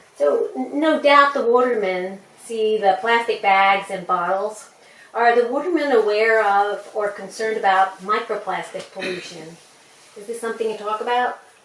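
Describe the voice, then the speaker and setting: A woman talks at a moderate pace in a fairly high pitch with ordinary pitch variation and big swings in loudness. Noticeable background noise runs behind her. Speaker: interviewer.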